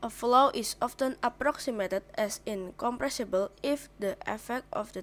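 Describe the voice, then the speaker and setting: A woman speaks with a non-native accent. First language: not English. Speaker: video creator practicing English. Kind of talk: reading aloud. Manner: self-interrupting; halting.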